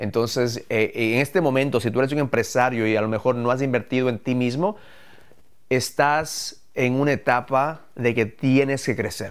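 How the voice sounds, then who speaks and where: A man talks at a moderate pace with an ordinary speaking voice and a medium pitch. His loudness stays very even, his pitch varies in an ordinary way, and the recording is very clean with a silent background. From Ecuador, moved to the US at 11. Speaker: entrepreneur, podcast co-host. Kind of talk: live podcast talk about business.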